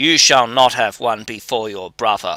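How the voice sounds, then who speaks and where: A put-on character voice growls at a moderate pace with ordinary pitch variation. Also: man. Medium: read story.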